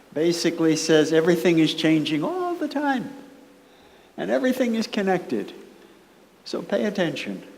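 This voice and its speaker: A woman with an American accent speaks at a moderate pace, her fairly low pitch swinging very widely. Audible room echo and noticeable background noise surround her voice. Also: long, frequent pauses. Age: 70s. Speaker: author and performance artist giving a keynote. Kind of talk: conference keynote speech. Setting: conference room with audience. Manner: conversational and playful.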